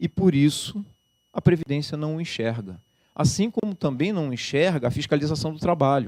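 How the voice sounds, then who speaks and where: Lively intonation from a man with a fairly high voice. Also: moderate pace. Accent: Rio de Janeiro. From Rio de Janeiro, Brazil. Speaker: labour judge and law professor. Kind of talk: lecture. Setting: lecture hall with audience.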